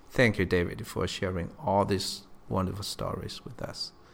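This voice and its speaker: A man speaks with a non-native accent. His pace is moderate. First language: not English. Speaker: podcast host. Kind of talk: interview.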